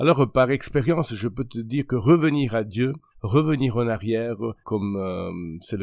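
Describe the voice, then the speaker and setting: Medium-pitched male speech with a slight Italian accent, a moderate pace and ordinary pitch variation in a very clean recording with a silent background. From Italy. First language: Italian (speaking French). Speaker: pastor and podcast host. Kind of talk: religious podcast monologue. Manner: halting, many hesitations.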